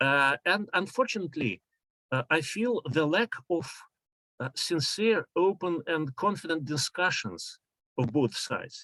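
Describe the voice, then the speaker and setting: A man with a Russian accent, a high pitch and lively intonation, at a fairly slow pace, in a dry, close sound with no echo. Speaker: professor. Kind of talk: conference talk. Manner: halting.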